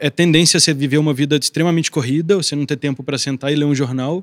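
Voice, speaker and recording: A man at a fairly high pitch, very fast pace and fairly even intonation, in a very clean, silent recording with a dry, close sound and no echo. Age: 20s. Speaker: photographer. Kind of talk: panel discussion.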